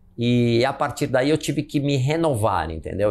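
Here a man is speaking. He goes at a fairly slow pace. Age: 50s. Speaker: marathon runner and businessman; interview guest. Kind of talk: casual chat. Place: home room. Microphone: lapel.

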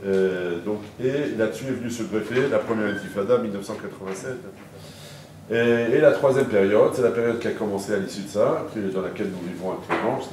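A man speaks at a moderate pace with ordinary pitch variation. The room has an audible echo, and light background noise is present. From Paris, France. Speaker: lecturer. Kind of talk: lecture. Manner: halting. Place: hall.

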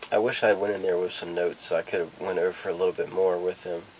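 The voice belongs to a man. Light background noise can be heard. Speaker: vlogger. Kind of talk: casual vlog chat. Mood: nervous, reflective, hesitant. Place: home room. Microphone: camera far.

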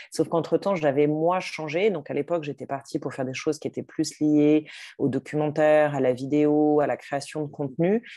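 A woman talks with a very deep, low pitch and a dark, mellow tone. Her intonation is fairly even, and the background is quiet. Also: moderate pace. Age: 40s. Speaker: entrepreneur and life coach. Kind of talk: interview testimony. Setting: video call. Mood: reflective, warm. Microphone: video call.

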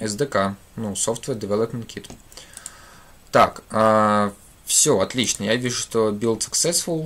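At a very slow pace full of long, frequent pauses, a man talks with ordinary pitch variation. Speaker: programming teacher; programming streamer. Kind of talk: live coding tutorial. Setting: livestream at computer. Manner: halting, many filler sounds. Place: home room.

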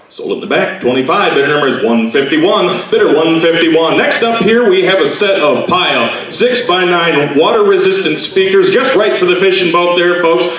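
Talking at a fairly quick pace in a high voice, a man is heard with light background noise and audible room echo. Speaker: auctioneer. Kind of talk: auction item introduction to audience. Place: hall.

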